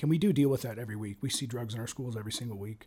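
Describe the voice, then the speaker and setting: A very fast, somewhat breathy voice with a dark, mellow tone and an American accent. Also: man. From Ohio, Cincinnati area. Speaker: police sergeant. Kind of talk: interview. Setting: studio.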